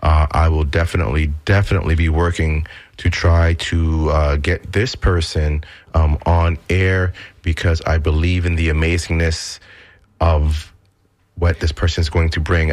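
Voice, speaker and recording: A man talks at a moderate pace in a very deep, low voice that is somewhat breathy. His loudness stays very even and his intonation fairly even. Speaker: radio host. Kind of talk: radio show hosting. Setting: studio.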